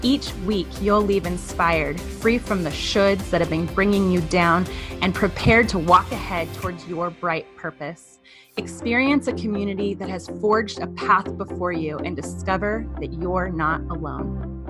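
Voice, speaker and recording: There is music in the background. A woman speaks at a moderate pace. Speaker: podcast host. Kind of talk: podcast intro read.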